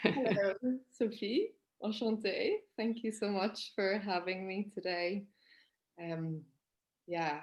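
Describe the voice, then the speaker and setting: In a Northern Irish accent, a woman speaks at a fairly slow pace. Her pitch varies in an ordinary way. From Northern Ireland, Belfast. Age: 30s. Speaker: forest school teacher and nature educator. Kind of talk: interview conversation. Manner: hesitant, many fillers.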